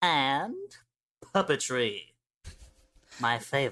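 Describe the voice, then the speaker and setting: A put-on character voice, pitched low-to-middle, creeps along at a very slow pace with a sinister tone. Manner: creepy, sinister.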